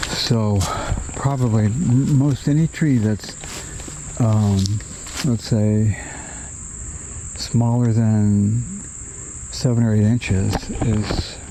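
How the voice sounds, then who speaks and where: A man's medium-pitched voice at a very slow pace, with long, frequent pauses, ordinary pitch variation, very even loudness and noticeable background noise. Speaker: retiree. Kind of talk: casual talk to camera. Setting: outdoors. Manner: reflective.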